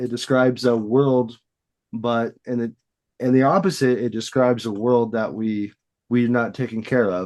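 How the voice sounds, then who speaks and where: The speech moves at a moderate pace in an American accent. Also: man. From Western Illinois, USA. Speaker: voice actor. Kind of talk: casual interview answer.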